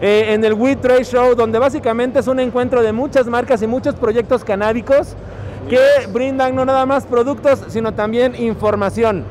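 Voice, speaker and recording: A man with an extremely high pitch talks at a moderate pace, with very even loudness and fairly even intonation. Noticeable background noise runs underneath. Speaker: podcast host. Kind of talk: casual chat. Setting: trade show floor.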